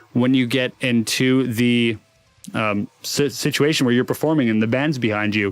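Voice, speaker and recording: At a moderate pace, a man speaks with ordinary pitch variation. It is an ordinary speaking voice. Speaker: recording engineer and vocal tutor. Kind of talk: tutorial. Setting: home recording studio. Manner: casual, relaxed.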